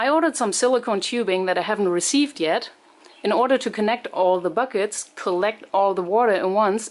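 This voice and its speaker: A woman speaks with a non-native accent. Her pace is fairly quick. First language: not English. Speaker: home gardening video maker. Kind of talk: tutorial. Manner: casual, explanatory.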